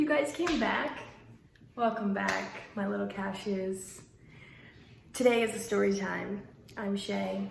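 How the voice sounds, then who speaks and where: Amid noticeable background noise and audible room echo, a woman speaks at a very slow pace with long, frequent pauses. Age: 20s. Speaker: vlogger. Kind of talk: storytime vlog.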